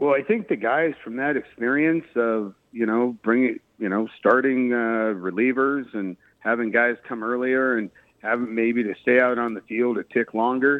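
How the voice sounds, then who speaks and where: This is an ordinary speaking voice. It moves at a moderate pace. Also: man, medium pitch for a man, fairly even intonation. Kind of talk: radio interview.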